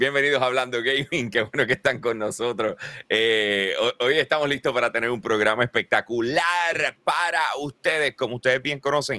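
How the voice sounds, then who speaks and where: In a Puerto Rican accent, a man speaks at a moderate pace and medium pitch with ordinary pitch variation and a bright, sharp tone, the sound dry and close with no echo. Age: 40s. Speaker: gaming podcast host. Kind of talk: casual chat. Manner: animated.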